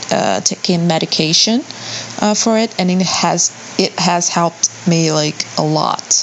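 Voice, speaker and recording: A woman with a non-native accent and a fairly low pitch speaks over noticeable background noise. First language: not English. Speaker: listener sending audio question. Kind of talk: recorded audio question.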